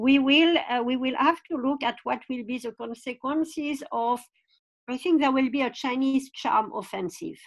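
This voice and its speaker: Speaking with a French accent, a woman has a high pitch, ordinary pitch variation and a moderate pace. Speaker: foreign policy expert. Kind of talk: panel discussion. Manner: hesitant, many fillers.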